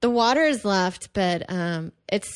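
A woman speaks with an American accent. Her pace is fairly slow. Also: quiet background. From Texas, Houston suburb of Kingwood. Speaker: comedian. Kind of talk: casual chat.

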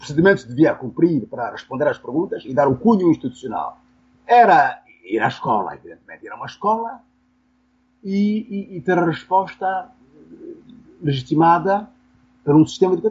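A high-pitched man speaks at a moderate pace, leaving long, frequent pauses. His pitch swings very widely and his loudness varies greatly. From Angola (Benguela). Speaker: philosophy professor. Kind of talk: interview. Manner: halting, with frequent repetitions.

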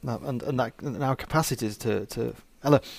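A man's medium-pitched, an ordinary speaking voice with fairly even intonation and a fairly quick pace. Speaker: podcast host. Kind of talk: casual interview chat.

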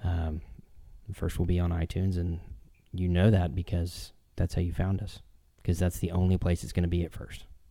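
Speaking with an American accent at a moderate pace, a man with a very deep, low pitch and a dark, mellow, somewhat breathy tone keeps a monotone, flat intonation broken by long, frequent pauses. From Houston, Texas. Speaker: podcast host. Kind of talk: casual chat. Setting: remote recording.

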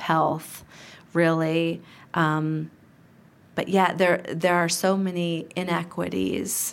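Very slowly, a woman with an American accent speaks at a fairly low pitch. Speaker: community aging program director. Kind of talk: interview.

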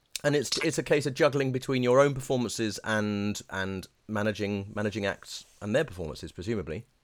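Lively intonation carries the speech along. The pace is fairly quick, with hardly any pauses. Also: man, fairly low pitch for a man. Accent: British. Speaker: podcast host, voice coach. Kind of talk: interview with scripted intro. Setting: video call.

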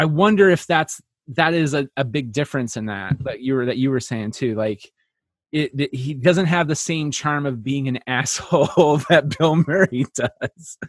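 An unremarkable speaking voice, this man's is fairly high in pitch with ordinary pitch variation, delivered at a moderate pace in a dry, close sound with no echo. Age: 30s. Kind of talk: casual chat.

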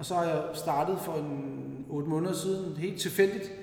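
Speaking with fairly even intonation at a fairly high pitch, a man is heard amid noticeable background noise and audible room echo. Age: 40s. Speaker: masters CrossFit athlete. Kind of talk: casual chat. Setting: gym, recorded on location.

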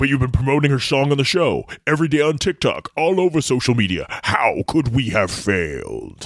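With lively intonation and very even loudness, a man puts on a character voice at a fairly high pitch. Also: moderate pace. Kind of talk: comic villain impression. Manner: dramatic, grave.

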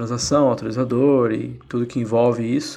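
Speaking at a moderate pace, a man has a medium pitch and a plain, everyday voice. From São Paulo metro area, Brazil. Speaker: tech manager, listener. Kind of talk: recorded listener voice message.

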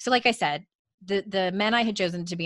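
There is little sound in the background. A woman talks in an animated way. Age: 40s. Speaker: author and life coach. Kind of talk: casual interview chat. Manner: high-energy, animated.

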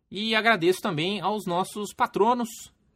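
A man's voice comes through a very clean recording against a silent background. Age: 30s. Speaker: RPG podcast host. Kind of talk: casual chat; podcast outro.

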